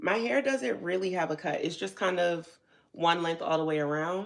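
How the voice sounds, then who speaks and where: This woman has a normal speaking voice with an American accent. Her pitch is fairly low, and she keeps a moderate pace. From New Jersey. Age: 40s. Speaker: hair and beauty youtuber. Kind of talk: live stream tutorial. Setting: home live stream. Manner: casual, chatty.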